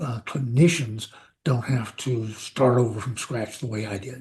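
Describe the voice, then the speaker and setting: The man's tone is dark and mellow, at a medium pitch. His voice is somewhat breathy. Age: 70s. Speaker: psychiatrist. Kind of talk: interview.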